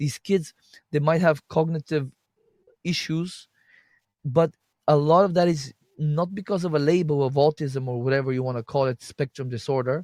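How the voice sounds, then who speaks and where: In a very clean recording with a silent background and a dry, close sound with no echo, a man with a non-native accent speaks at a fairly high pitch, pausing long and often. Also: ordinary pitch variation, moderate pace. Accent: noticeable foreign. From Bulgaria. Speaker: health and detox practitioner. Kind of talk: interview conversation. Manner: halting, frequent repeated false starts.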